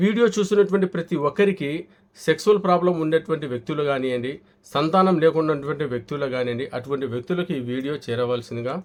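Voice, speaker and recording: The man has a normal speaking voice, fairly high-pitched, with lively intonation. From Kadapa, Andhra Pradesh (Rayalaseema). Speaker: homeopathy and ayurvedic doctor. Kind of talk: health advice and sales pitch.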